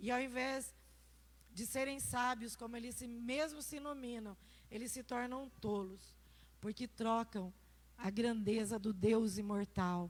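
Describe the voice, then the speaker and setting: A woman's fairly high voice at a fairly slow pace, ordinary pitch variation, and long, frequent pauses. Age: 60s. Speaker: pastor. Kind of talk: sermon.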